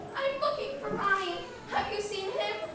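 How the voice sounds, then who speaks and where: In a put-on character voice, a woman squeaks at an extremely high pitch and a moderate pace, with strong echo and loud background noise. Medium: stage play. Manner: confused, fretful.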